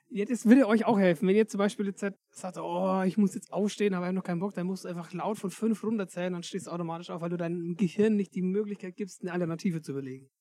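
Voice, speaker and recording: Hardly any pauses break the very fast pace of this speech. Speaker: podcast host. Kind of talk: casual chat. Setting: in a sheep stall. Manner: animated.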